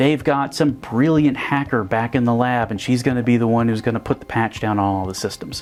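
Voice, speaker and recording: A normal speaking voice from a man, medium in pitch, at a fairly quick pace with fairly even intonation and hardly any pauses. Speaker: presenter and video parody producer. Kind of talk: explanatory presentation talk to camera.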